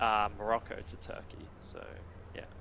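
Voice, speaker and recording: This man speaks with an Australian accent at a moderate pace. His medium-pitched voice has a bright, sharp tone. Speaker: ultra runner. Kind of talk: casual chat.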